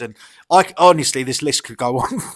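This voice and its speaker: This man has a British accent. He talks very fast. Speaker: YouTube commentator. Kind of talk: casual commentary vlog. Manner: animated, profane ranting; halting, many fillers.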